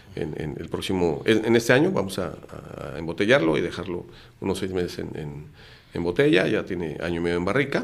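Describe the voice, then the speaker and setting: The room echo is audible as a man with a very deep, low pitch talks. His pace is fairly quick and his intonation lively. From Mexico City. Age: 50s. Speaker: lawyer and entrepreneur. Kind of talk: casual interview.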